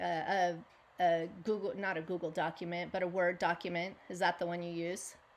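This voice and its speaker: At a moderate pace, a woman with an American accent talks at a fairly low pitch in monotone, flat intonation. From US West Coast. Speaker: podcast host. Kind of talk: casual interview chat.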